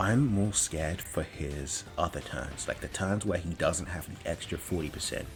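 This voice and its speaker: Music plays in the background as a man with a very deep, low pitch speaks. He keeps a moderate pace with ordinary pitch variation. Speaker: gaming YouTuber. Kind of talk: gameplay commentary. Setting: home room, door closed. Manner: filler-heavy, hesitant.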